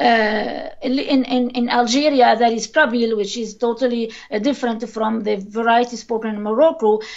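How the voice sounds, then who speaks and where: A woman talks at a moderate pace with hardly any pauses, her pitch fairly high and her intonation fairly even. Noticeable background noise runs under her voice. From Tunisia. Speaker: linguist. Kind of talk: interview. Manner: hesitant, many fillers.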